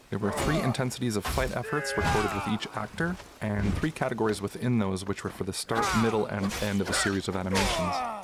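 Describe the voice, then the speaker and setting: With noticeable background noise around him, a man talks fairly quickly, his intonation lively. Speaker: audio designer who worked on game voice. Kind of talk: demo reel walkthrough narration.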